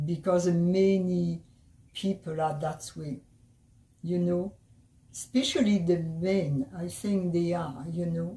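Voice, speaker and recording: A woman speaks very slowly in a fairly low, somewhat breathy voice with a dark, mellow tone and ordinary pitch variation. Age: 80s+. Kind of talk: interview answer.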